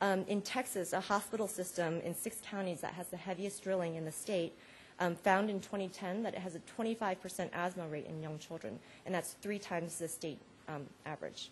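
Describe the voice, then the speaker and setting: Her voice is somewhat breathy and sits at a medium pitch. The woman talks at a fairly quick pace. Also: ordinary pitch variation. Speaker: conference panelist. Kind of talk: conference talk. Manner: fast; many fillers (um).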